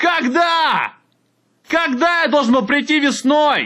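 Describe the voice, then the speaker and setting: Raised, projected male voice, bright and sharp in tone. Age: 20s. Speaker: podcaster. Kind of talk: solo monologue.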